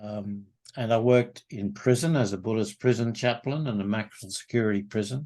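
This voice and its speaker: Speaking with an Australian accent, a man has a fairly low voice with a dark, mellow tone and ordinary pitch variation. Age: 70s. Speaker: men's group facilitator. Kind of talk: interview.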